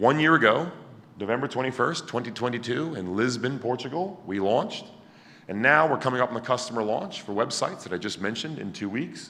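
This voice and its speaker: Loud and bright with a sharp tone, a man talks fairly quickly at a medium pitch with lively intonation, and room echo is audible. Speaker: conference speaker presenting a project. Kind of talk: conference talk. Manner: animated.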